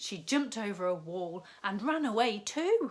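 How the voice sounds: A woman speaks at a medium pitch with big pitch swings. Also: fairly slow pace.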